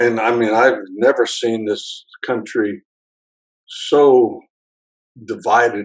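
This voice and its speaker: Speaking at a very slow pace with long, frequent pauses, a man uses a medium pitch and ordinary pitch variation. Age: 70s. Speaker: winemaker. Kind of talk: interview. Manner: halting.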